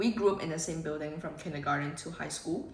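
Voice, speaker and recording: Talking at a fairly quick pace with a Cantonese accent, a woman is heard through noticeable background noise and audible room echo. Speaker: vlogger. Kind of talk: vlog chat. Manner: casual, animated.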